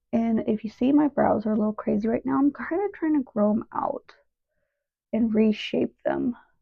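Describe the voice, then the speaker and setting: Soft-spoken and somewhat breathy, the voice moves at a moderate pace. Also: woman. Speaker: beauty vlogger. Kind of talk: makeup tutorial. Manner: casual.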